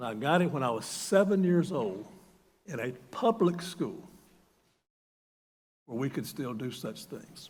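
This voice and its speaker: A man with a Southern US accent speaks fairly slowly at a fairly high pitch, somewhat breathy, his pitch swinging very widely. Long, frequent pauses break up his speech, and audible room echo surrounds it. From US South, North Carolina. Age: 70s. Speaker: retired university president. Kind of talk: sermon. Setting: church.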